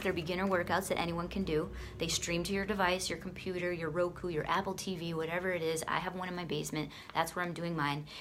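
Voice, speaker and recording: A woman speaks very fast with an American accent and a fairly low pitch. Room echo is audible. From US Northeast, Boston. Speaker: fitness coach and product seller. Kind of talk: casual product walkthrough video.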